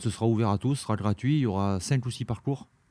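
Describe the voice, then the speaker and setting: This man's voice sits at a fairly low pitch. His tone is dark and mellow. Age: 50s. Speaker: former gendarme, race organizer. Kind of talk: casual interview. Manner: halting, repeats words.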